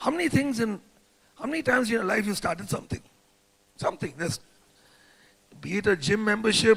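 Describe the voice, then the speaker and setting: Animated and very fast, a man with a high voice uses lively intonation but leaves long, frequent pauses. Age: old. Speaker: direct selling executive. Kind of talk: motivational talk. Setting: stage with audience.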